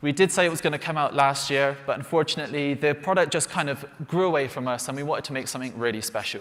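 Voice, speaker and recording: A man with a West Country accent, fairly high in pitch, at a very fast pace. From England, Bristol. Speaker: flight sim developer presenting products. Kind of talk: live product announcement presentation.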